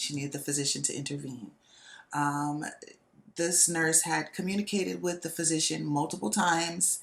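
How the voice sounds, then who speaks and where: With vocal fry and a very deep, low pitch, a woman talks at a moderate pace with ordinary pitch variation. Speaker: podcast host and nurse. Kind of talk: casual monologue. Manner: loud; animated.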